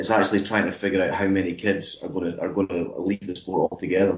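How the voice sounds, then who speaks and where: In a Scottish accent, a man with a very deep, low pitch speaks at a fairly quick pace with monotone, flat intonation. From Scotland, Kirkcaldy in Fife. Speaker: ice hockey coach. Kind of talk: panel discussion.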